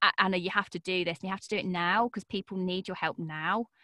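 A woman talks at a very fast pace in a bright, sharp tone, medium in pitch with ordinary pitch variation. The sound is dry and close with no echo, a very clean recording against a silent background. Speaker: podcast coach and voice actor. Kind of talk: casual interview chat. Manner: energetic, animated.

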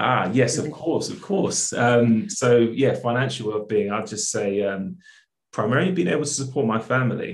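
A man speaks with a South London accent. His voice is somewhat breathy, and his intonation is lively. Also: medium pitch for a man, moderate pace. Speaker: accountant and charity co-founder. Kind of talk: casual interview.

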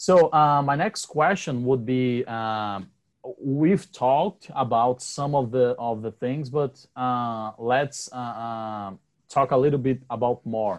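Very slow in pace, a man with a Brazilian accent speaks at a medium pitch. His pitch varies in an ordinary way. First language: Portuguese. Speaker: podcast host. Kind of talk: casual interview chat.

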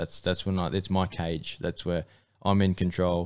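This man has a very deep, low voice and fairly even intonation, speaking at a moderate pace with an Australian accent. The recording is very clean, with a silent background. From North Queensland, Australia (Mackay). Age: 20s. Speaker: amateur MMA fighter. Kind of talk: interview. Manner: casual, hesitant fillers.

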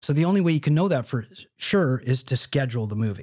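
A man's somewhat breathy, medium-pitched voice at a fairly quick pace, in a very clean recording with a silent background. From Canada. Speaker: film producer. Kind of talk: podcast interview.

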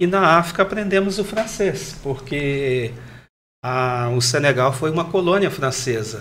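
In a room with audible echo, a man with a fairly high pitch talks at a fairly slow pace with ordinary pitch variation. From Brazil, Minas Gerais (Triângulo Mineiro). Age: 50s. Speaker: pastor and missionary. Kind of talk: panel discussion.

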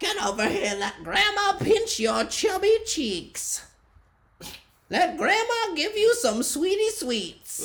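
At a fairly slow pace, someone puts on a character voice pitched extremely high. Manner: affectionate, teasing.

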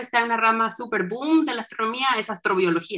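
A woman talks at a fairly quick pace with an animated, bright and sharp tone and ordinary pitch variation. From northern Mexico (Saltillo, Coahuila). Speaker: astronomer. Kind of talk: interview.

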